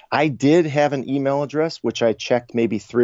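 This man talks with a slight Chicago accent and ordinary pitch variation. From Chicago, US Midwest. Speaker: travel website co-founder. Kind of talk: interview conversation.

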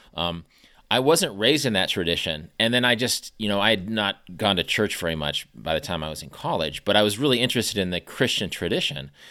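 A man with an American accent and a bright, sharp tone, fairly low in pitch, with lively intonation at a fairly quick pace. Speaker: podcast host. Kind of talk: casual interview chat. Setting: remote call.

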